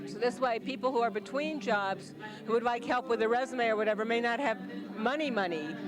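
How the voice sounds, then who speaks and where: A woman talks at a fairly quick pace in a fairly high voice. Audible room echo and crowd noise fill the background. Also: ordinary pitch variation. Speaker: small business owner, career coach. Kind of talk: interview testimonial. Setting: community launch event.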